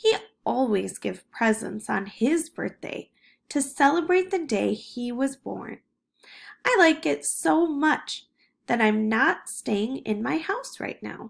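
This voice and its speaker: A woman uses a put-on character voice, high in pitch, at a fairly slow pace. The recording is very clean, with a silent background. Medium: read story. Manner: polite, gentle, unhurried.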